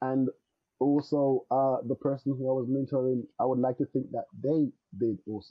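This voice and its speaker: At a moderate pace, a man with a slight Jamaican accent speaks at a medium pitch in a monotone, flat intonation. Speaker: network engineer. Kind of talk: podcast interview. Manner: hesitant, many filler words.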